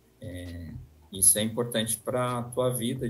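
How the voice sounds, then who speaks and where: A man with a Brazilian interior accent speaks at a very slow pace. Music plays in the background, and the room echo is audible. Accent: caipira (rural Brazilian interior). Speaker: university professor. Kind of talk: interview. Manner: hesitant, many fillers.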